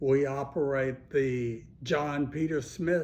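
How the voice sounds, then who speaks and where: A man speaks with a somewhat breathy voice and an American accent. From Texas (Fort Worth). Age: 70s. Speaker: county commissioner. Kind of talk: answering interview questions for schoolchildren.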